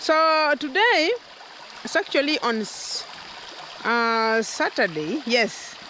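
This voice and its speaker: A woman uses a raised, projected voice with lively intonation, the sound dry with no echo and light background noise behind her. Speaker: vlogger. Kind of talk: casual vlog chat. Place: forest. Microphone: phone near.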